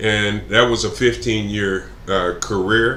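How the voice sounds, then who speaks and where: A man with a Texan accent talks at a fairly slow pace with fairly even intonation, and the room echo is audible. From Texas (Plano). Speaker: political candidate. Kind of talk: interview. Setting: live stream. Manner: halting, many fillers.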